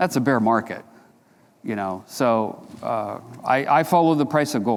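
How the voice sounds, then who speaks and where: Using an unremarkable speaking voice, a man talks at a moderate pace and medium pitch with ordinary pitch variation, on a very clean recording with a silent background. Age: 60s. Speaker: precious metals analyst. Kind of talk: conference Q&A. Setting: stage with audience. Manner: casual, conversational.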